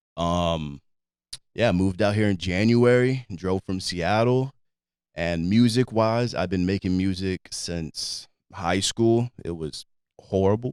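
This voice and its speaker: Very deep and low in pitch, a man speaks very slowly with ordinary pitch variation. The recording is very clean with a silent background, dry and close with no echo. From Alaska, Anchorage. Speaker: independent musician and producer. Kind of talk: casual interview chat.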